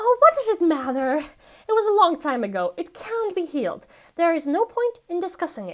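An extremely high-pitched woman's put-on character voice at a moderate pace. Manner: brittle, defensive.

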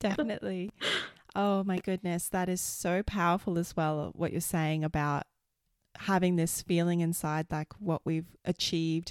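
In a very clean recording with a silent background, a woman with an Australian accent speaks at a moderate pace and a fairly low pitch, her loudness very even and the sound dry and close with no echo. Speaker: podcast host. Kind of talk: scripted monologue workshop; casual interview chat. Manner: enthusiastic.

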